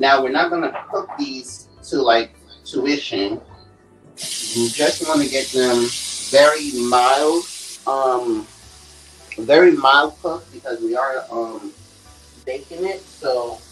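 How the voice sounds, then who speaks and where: Over clear background music, a man speaks at a very slow pace with ordinary pitch variation and long, frequent pauses. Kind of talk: cooking tutorial. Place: kitchen. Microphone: phone near.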